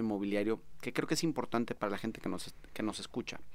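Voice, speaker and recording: This is a man talking. He has a Mexican accent. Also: very clean recording, silent background. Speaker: podcast host. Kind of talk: interview. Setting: studio.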